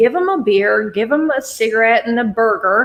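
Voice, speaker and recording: Lively intonation marks this woman's speech in an eastern Kentucky accent. She has a fairly high pitch and keeps a moderate pace. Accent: eastern Kentucky accent, still there. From eastern Kentucky, Martin County. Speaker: guest. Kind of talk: casual chat. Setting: podcast.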